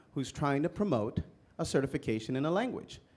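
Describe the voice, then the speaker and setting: In a Spanish accent, a man talks with a dark, mellow tone. His pitch varies in an ordinary way. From immigrant, Spanish-speaking country. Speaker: political candidate, navy veteran and economics instructor. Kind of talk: candidate forum answer.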